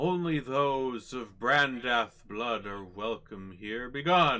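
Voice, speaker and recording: Someone delivers lines in a put-on character voice, going very slowly. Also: man, medium pitch for a man. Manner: stern, warning.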